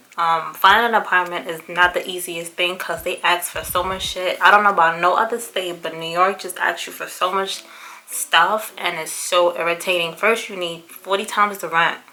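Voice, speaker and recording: Her fairly low pitch held in a monotone, flat intonation, a woman speaks with hardly any pauses and big swings in loudness over noticeable background noise. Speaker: beauty vlogger and small business owner. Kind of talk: casual vlog talk. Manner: fast.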